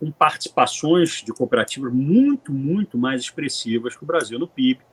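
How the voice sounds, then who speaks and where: Somewhat breathy and fairly high in pitch, a man speaks at a moderate pace with lively intonation. His loudness swings widely, and the sound is dry and close with no echo. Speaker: lawyer, panelist on cooperative law. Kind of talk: panel presentation. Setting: conference panel. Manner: hesitant, frequent filler 'é'.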